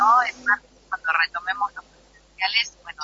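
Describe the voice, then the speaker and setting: A woman at a moderate pace with ordinary pitch variation, amid noticeable background noise. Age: 70s. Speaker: actress. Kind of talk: interview.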